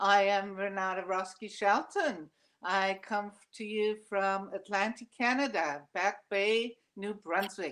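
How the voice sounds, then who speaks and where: A woman with a German accent speaks at a fairly slow pace and a medium pitch, her intonation fairly even. The recording is very clean, with a silent background. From Germany. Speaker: artist. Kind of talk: casual interview.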